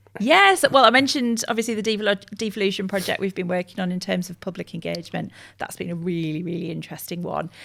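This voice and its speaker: Vocal fry at a very fast pace with hardly any pauses and ordinary pitch variation, on a very clean recording with a silent background. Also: woman, medium pitch for a woman. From northern England, Middlesbrough (Teesside). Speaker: communications agency director. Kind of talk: podcast interview.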